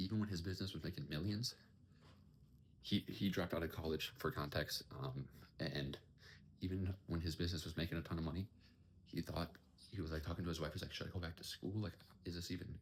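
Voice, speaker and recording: The quiet, somewhat breathy voice moves at a fairly quick pace with ordinary pitch variation. Long, frequent pauses break it up. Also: man. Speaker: entrepreneur vlogger. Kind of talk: casual vlog monologue. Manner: quiet, kept down.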